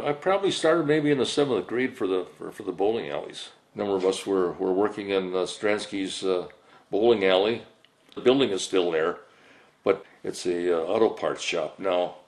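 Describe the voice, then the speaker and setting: With an Upper Midwest accent, a man speaks at a moderate pace in a fairly low pitch with lively intonation. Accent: Upper Midwest (Minnesota). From Saint Paul, Minnesota. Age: 80s+. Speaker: elderly interviewee recalling childhood. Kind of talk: oral history interview. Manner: halting, many fillers and repetitions.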